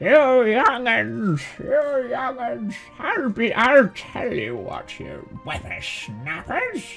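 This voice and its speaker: With faint music in the background, a put-on character voice at a fairly high pitch talks at a very slow pace. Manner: scolding, grumpy.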